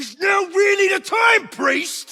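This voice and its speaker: A man shouts in a put-on character voice. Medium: video game. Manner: blunt, plain-spoken.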